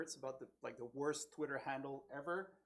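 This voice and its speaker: With a slight French Canadian accent, a man keeps his intonation fairly even. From Quebec, French Canada. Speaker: tech conference speaker, developer evangelist. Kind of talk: technical talk at a meetup. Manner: casual, many fillers.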